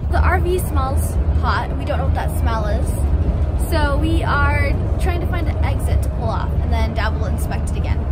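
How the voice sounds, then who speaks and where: There is loud background noise. Over it, a woman speaks at a moderate pace. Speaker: family vlogger. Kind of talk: casual vlog chat. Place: car.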